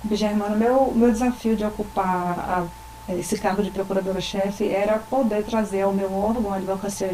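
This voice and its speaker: There is audible room echo and noticeable background noise as a woman at medium pitch talks at a moderate pace with fairly even intonation. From Rio Grande do Norte, Brazil. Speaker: government attorney. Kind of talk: interview.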